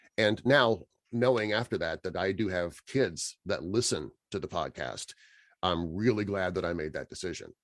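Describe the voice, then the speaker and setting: With an American accent, a man talks in an unremarkable speaking voice, fairly low in pitch with ordinary variation, at a moderate pace. The recording is very clean with a silent background and a dry, close sound with no echo. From Kansas, USA. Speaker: voice over artist. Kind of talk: interview answer. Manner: casual, conversational.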